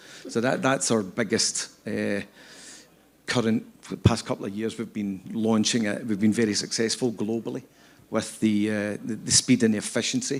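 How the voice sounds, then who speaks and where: The speaker talks at a moderate pace with fairly even intonation in a Scottish accent. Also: man, medium pitch for a man. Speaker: scaffolding company executive. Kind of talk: panel interview. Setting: stage with audience. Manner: halting, many repetitions.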